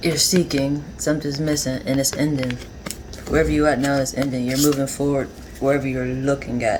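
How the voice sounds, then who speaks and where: The speech comes at a fairly quick pace with noticeable background noise behind it. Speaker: tarot reader. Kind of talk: tarot reading monologue. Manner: conversational, rambling.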